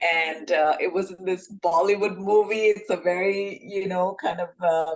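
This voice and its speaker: Speaking at a fairly slow pace, a woman with an Indian accent uses a medium pitch. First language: Hindi. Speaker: self-love coach, podcast co-host. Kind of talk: casual podcast discussion.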